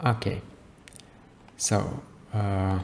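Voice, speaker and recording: The man's voice is fairly low-pitched. Background noise is noticeable throughout. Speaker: creative coding tutorial maker. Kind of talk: software tutorial. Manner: casual, with many fillers and self-corrections.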